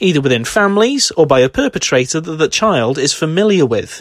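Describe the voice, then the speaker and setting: In a British accent, a man talks at a fairly quick pace. His pitch is fairly high for a man, and the sound is dry and close with no echo. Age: 20s. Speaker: horror film podcaster. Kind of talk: scripted narration.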